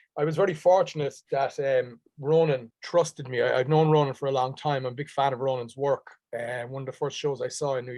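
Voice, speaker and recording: In a Dublin accent, a man talks at a fairly quick pace with a fairly high pitch and fairly even intonation. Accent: Dublin Irish. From Ireland, Dublin. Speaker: stage actor. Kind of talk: interview conversation.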